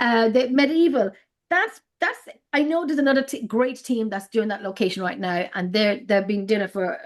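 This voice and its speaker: Talking at a fairly quick pace, a woman with an Irish accent uses lively intonation. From Ireland, Drogheda (County Louth). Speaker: paranormal investigator. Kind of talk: casual chat. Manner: halting.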